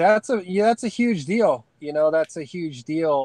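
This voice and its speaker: With a dry, close sound and no echo, a man talks at a moderate pace in an unremarkable speaking voice with ordinary pitch variation. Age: 30s. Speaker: off-grid living youtuber. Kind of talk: casual chat.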